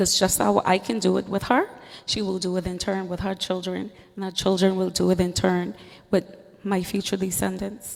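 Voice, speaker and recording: The speaker has a Turks and Caicos accent and a monotone, flat intonation at a moderate pace. Noticeable background noise sits behind the voice. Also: woman, medium pitch for a woman. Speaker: teacher. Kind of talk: panel discussion.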